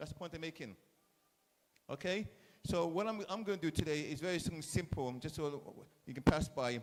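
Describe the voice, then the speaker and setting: With an English accent, a man speaks at a fairly high pitch. His pace is moderate and his pitch variation ordinary. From England. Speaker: chef. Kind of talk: speech to school students at event. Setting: school event audience. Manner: animated.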